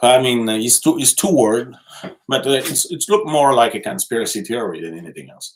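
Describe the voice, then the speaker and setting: With a strong Quebec accent, this voice moves at a moderate pace through very wide pitch swings, with vocal fry. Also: man. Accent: thick French Quebec. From Quebec City. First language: French. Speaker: live streamer. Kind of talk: casual live stream chat reading comments. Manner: halting, many fillers and repetitions.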